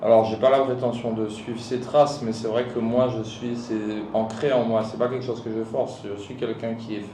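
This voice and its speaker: A man talks with monotone, flat intonation. Noticeable background noise and audible room echo fill the recording. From Guadeloupe. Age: 30s. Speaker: hiker and mountaineer. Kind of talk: podcast interview. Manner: casual.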